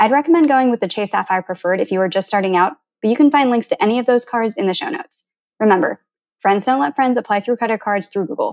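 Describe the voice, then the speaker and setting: An unremarkable speaking voice: a woman with an American accent, fairly high in pitch, with lively intonation. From United States, Filipino American. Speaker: podcast host. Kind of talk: scripted narration; casual interview.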